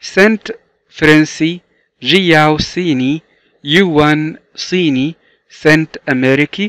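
A man with an Egyptian accent speaks very slowly in a fairly high voice with ordinary pitch variation. The sound is dry and close, with no echo. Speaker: English teacher. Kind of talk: tutorial. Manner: slow, repetitive drilling.

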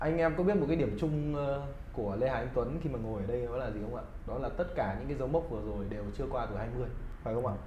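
Medium-pitched male speech at a very fast pace with lively intonation, audible room echo and light background noise. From Vietnam. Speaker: gaming talk show host. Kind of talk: casual interview. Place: studio.

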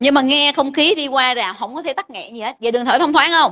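A woman's voice is raised and projected, high in pitch, with a bright, sharp tone. Her pitch variation is ordinary, and the background is quiet. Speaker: medical lecturer. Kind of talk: lecture. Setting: classroom. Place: classroom.

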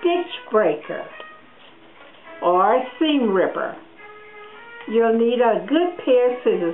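A woman's fairly high voice with a warm tone, very slow with long, frequent pauses and very even loudness, over background music. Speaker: sewing teacher. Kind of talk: instructional sewing lesson to camera. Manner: friendly, warm.

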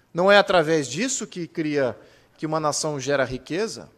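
Moderately paced, this man's speech has ordinary pitch variation. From Brazil. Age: 40s. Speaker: political activist and speaker; speaker. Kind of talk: lecture. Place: hall. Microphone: podium.

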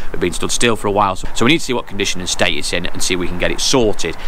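A man talks at a very fast pace with lively intonation. The sound is dry with no echo, over light background noise. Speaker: car trader vlogger. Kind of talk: casual vlog chat. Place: street. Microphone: phone near.

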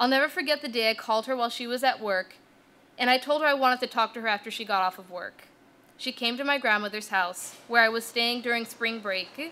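Bright and sharp in tone, a woman with an American accent talks at a very fast pace with big swings in loudness. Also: fairly high pitch for a woman, ordinary pitch variation. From Utah, US. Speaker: divinity student. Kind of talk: keynote speech.

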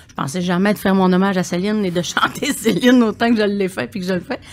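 The delivery rushes along very fast. Its pitch shifts in an ordinary way. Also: woman. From Quebec. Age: 60s. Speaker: singer and palliative care attendant; podcast guest. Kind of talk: podcast interview. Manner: halting, repeats words. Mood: warm, reflective. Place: studio. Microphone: studio mic.

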